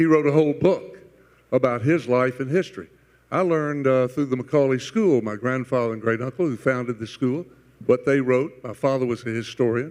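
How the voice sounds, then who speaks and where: Fairly quick speech from a man in a Southern US accent, at medium pitch with ordinary pitch variation. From US South, Chattanooga. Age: 80s+. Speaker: panelist. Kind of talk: panel discussion.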